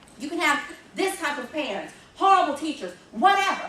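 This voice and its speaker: An animated woman with a slight Southern accent, an extremely high pitch, a bright, sharp tone, and lively intonation, with audible room echo. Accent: slight southern drawl. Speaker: motivational speaker, arts educator. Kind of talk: motivational talk to students.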